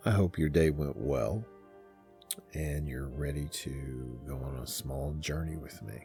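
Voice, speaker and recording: Over music in the background, a soft-spoken man with a gentle tone and a very deep, low pitch talks at a fairly slow pace with ordinary pitch variation. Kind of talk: sleep story, guided meditation narration. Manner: gentle, calming, softly spoken.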